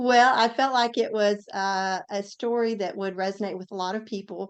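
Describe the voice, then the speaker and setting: In a Southern accent, a woman speaks at a medium pitch and a moderate pace. Her intonation is fairly even, against a quiet background. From US South, Tennessee. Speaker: author and former ICU nurse. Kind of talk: interview.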